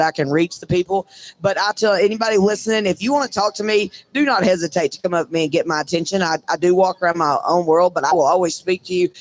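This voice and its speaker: Loud and very fast, a man talks at a high pitch with ordinary pitch variation. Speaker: breakaway roper. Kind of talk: casual interview. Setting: live from a trade show booth.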